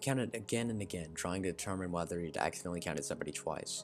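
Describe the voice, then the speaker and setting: A man's very deep, low voice at a very fast pace, with ordinary pitch variation and music in the background. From Arkansas. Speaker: story narrator. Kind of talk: reading aloud. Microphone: poor mic quality, not usual mic.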